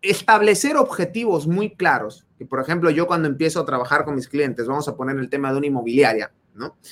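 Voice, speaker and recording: With a Mexican accent, a man speaks in an energetic tone, his intonation lively and his loudness swinging widely. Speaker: podcast host and business coach. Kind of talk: casual chat. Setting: Facebook live video stream.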